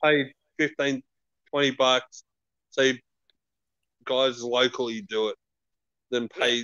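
At a very slow pace with long, frequent pauses, a man speaks at a medium pitch with fairly even intonation. The sound is dry with no echo against a quiet background. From Melbourne, Australia. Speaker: metal podcast co-host. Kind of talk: casual chat. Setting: live stream video call. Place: home room. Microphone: video call.

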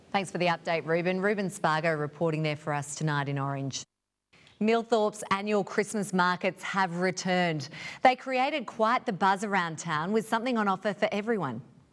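Against a quiet background, a woman talks fairly quickly with lively intonation. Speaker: TV news presenter. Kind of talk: news reading. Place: studio. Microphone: lapel.

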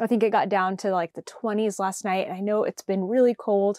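A woman speaks at a moderate pace in a dark, mellow tone with fairly even intonation. The sound is dry with no echo, and the background is quiet. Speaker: podcast host. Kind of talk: casual vlog chat. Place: home room. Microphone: lapel.

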